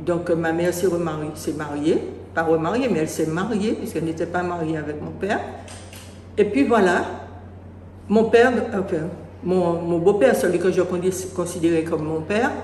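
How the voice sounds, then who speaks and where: A woman with a fairly low pitch and ordinary pitch variation speaks at a moderate pace with long, frequent pauses, amid noticeable background noise and audible room echo. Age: 70s. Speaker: parishioner giving testimony. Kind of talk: testimony. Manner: halting.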